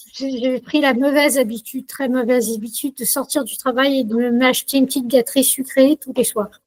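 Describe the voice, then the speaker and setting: A woman's high voice at a moderate pace, ordinary pitch variation, dry and close with no echo. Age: 60s. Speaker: customer giving a testimonial. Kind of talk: testimony. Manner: hesitant, many filler sounds.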